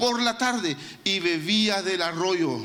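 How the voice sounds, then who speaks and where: In a room with audible echo and noticeable background noise, a man speaks very slowly in a raised, projected voice with ordinary pitch variation. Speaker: pastor. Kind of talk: sermon.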